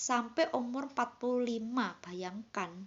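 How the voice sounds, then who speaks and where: A woman speaks with a high-pitched voice. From Indonesia, Banyuwangi (East Java). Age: 40s. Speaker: vlogger sharing illness story. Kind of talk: personal testimony. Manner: casual, halting.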